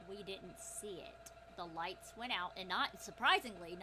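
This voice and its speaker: A woman's put-on character voice at medium pitch, with clear background noise. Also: moderate pace. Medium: actual play. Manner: calm, casual.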